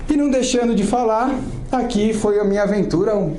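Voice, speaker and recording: A man speaks at a fairly quick pace. Audible room echo and noticeable background noise surround him. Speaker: Salesforce systems specialist, conference speaker. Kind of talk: conference talk. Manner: fast.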